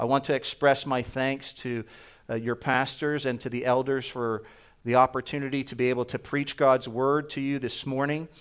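Speaking in an American accent, a man keeps a medium pitch, monotone, flat intonation and a moderate pace in a very clean recording with a silent background. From New Jersey. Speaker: preacher and missionary. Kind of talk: sermon. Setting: church.

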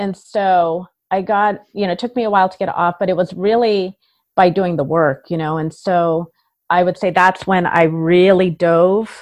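A woman with an ordinary speaking voice, fairly low in pitch, at a moderate pace with fairly even intonation and a quiet background. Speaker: entrepreneur. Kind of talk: interview.

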